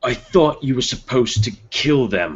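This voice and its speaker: A man puts on a character voice at a medium pitch. He talks at a moderate pace with lively intonation. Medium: actual play. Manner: brusque.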